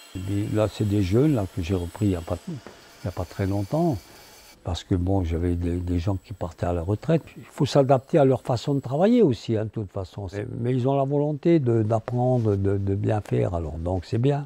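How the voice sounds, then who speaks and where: Somewhat breathy and dark, mellow in tone, a man's fairly low voice moves with lively intonation. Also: moderate pace. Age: 80s+. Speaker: scissor maker. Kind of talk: interview answer.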